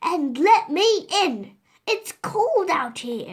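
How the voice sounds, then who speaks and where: A put-on character voice, raised and projected, at a very slow pace with very wide pitch swings. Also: woman, extremely high pitch for a woman. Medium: read story. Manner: bold, sly.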